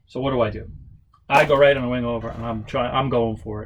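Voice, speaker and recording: A man with a New York accent. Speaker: model aircraft builder and stunt flyer. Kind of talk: casual workshop tutorial and storytelling. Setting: workshop. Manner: casual, with many fillers.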